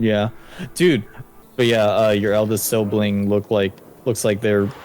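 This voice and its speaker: Here is a man with an ordinary speaking voice, fairly low in pitch, with fairly even intonation. He talks at a fairly slow pace, his loudness very even. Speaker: gaming streamer. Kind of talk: casual chat.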